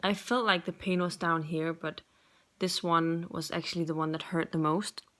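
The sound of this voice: A woman's fairly low, fairly bright voice at a fairly slow pace, with fairly even intonation.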